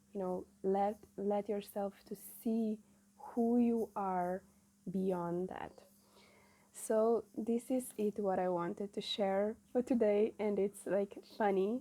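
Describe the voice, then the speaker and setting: Delivered at a very slow pace with long, frequent pauses, this voice has a non-native accent, a dark, mellow tone and fairly even intonation. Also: woman, medium pitch for a woman. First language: not English. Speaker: spiritual channeler. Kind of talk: spiritual message monologue. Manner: halting, many fillers.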